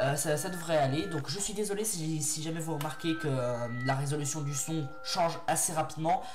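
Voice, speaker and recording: With lively intonation and a moderate pace, a man talks as noticeable background noise runs behind him. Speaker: creepypasta narrator. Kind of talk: casual talk to audience. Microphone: headset.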